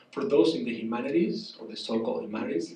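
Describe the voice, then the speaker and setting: Spoken in a Spanish accent, the voice shows ordinary pitch variation. An audible room echo surrounds it. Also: man. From southern Spain, rural. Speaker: professor. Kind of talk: public conversation. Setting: cafe event with audience.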